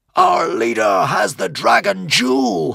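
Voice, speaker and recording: In a put-on character voice, a man bellows and shouts at medium pitch and a fairly slow pace. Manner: triumphant roaring shout.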